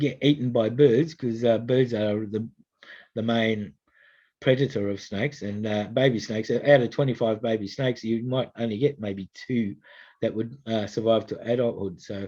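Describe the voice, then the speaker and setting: An Australian-accented man speaks at medium pitch in a dark, mellow tone with fairly even intonation. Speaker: snake catcher. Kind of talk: public information talk. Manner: fast; hesitant, many fillers.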